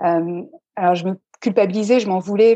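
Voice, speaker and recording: Her voice sits at a medium pitch for a woman, with a dark, mellow tone and fairly even intonation. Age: 30s. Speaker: stress management coach. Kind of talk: interview.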